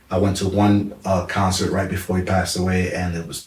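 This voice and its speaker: A man with a New York accent talks at a fairly quick pace. His very deep voice stays flat and monotone. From New York, the Bronx. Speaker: hip hop artist. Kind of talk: casual interview. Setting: studio.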